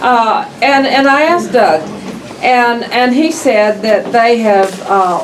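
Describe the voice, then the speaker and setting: The speech comes at a very slow pace with lively intonation, in an American accent. Audible room echo and noticeable background noise are present. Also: woman. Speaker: county official representing a town. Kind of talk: public meeting address. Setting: county meeting room.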